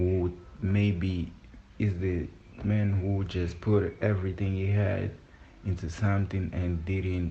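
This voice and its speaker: A man with a Portuguese accent speaks very slowly in a very deep, low voice, somewhat breathy. His intonation is monotone and flat, and the room echo is audible. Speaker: vlogger. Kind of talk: personal voice note. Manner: halting.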